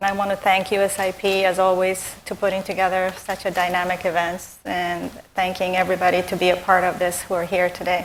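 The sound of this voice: A woman's fairly low voice at a fairly quick pace, few pauses, and monotone, flat intonation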